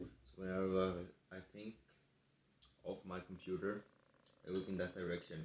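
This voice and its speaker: A man mumbles in a very deep, low pitch with monotone, flat intonation at a moderate pace, leaving long, frequent pauses. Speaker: gaming video host. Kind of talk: casual commentary. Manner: mumbling; quiet.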